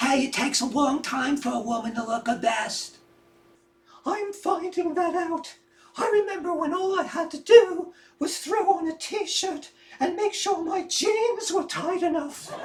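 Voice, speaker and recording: With a put-on character voice, a woman speaks at a moderate pace in an extremely high, squeaky pitch with lively intonation. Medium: audio drama. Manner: frank, playful.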